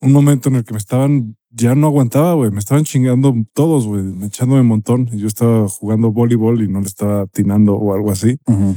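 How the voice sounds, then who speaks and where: A man with a Mexican accent speaks at a very fast pace and medium pitch. His tone is dark and mellow, and the sound is dry and close with no echo. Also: ordinary pitch variation. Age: 30s. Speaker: podcast co-host. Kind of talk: casual chat.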